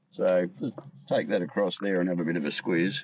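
A man with an Australian accent speaks at a moderate pace. His pitch is very deep and low, with noticeable background noise. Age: 50s. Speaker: podcast host. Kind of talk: casual chat. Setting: studio.

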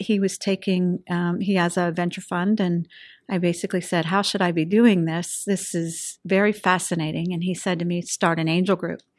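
With an American accent and a plain, everyday voice, a woman speaks at a medium pitch and moderate pace with fairly even intonation and hardly any pauses, on a very clean recording with a silent background. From Western Pennsylvania. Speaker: venture capitalist. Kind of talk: interview.

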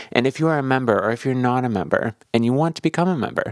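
A man with a plain, everyday voice, medium in pitch, with lively intonation and a dry, close sound with no echo. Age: 30s. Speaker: podcast host. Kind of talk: casual interview chat and narration.

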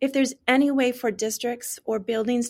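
A woman speaks at a moderate pace with fairly even intonation. She has an unremarkable speaking voice. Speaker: teacher of deaf and hard of hearing students. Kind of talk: casual interview chat. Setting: video call.

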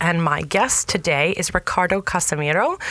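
There is noticeable background noise behind a voice with an American accent. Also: woman. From New Jersey, US. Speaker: podcast host. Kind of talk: interview conversation; scripted intro.

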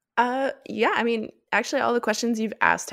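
A woman speaks with an American accent. Her voice carries vocal fry. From US, Miami. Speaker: opera podcaster. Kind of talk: casual interview.

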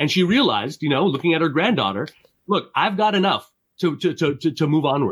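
Lively in intonation and fairly quick, a man speaks in a fairly high pitch with vocal fry and very even loudness. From Montreal, Canada. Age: 40s. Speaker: career coach. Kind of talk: interview. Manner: halting, with frequent repetitions.

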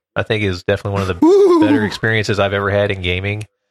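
A man speaks with a Midwestern American accent. His pitch sits fairly low. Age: 30s. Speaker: podcaster. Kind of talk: casual chat.

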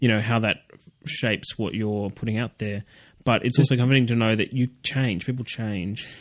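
Speaking at a fairly quick pace with an Australian accent, a man keeps a medium pitch and fairly even intonation over a quiet background. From Australia, Canberra. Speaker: writer. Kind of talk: casual interview.

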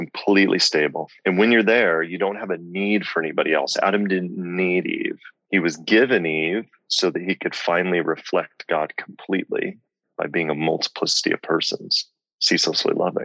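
A man talks at a moderate pace with a Midwestern US accent. The sound is dry and close, with no echo. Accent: General American, Midwestern. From US Midwest (Lincoln, Nebraska). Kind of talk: interview, faith testimony.

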